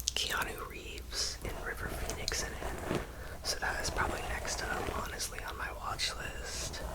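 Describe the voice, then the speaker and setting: Whispering from a woman, fairly slow in pace, amid noticeable background noise. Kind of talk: casual whispered ramble to camera (ASMR). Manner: whispered, soft.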